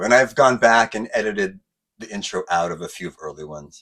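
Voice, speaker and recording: A man's voice with vocal fry and very wide pitch swings, on a very clean recording with a silent background. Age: 50s. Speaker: YouTube car modification channel host. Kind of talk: casual talk to camera.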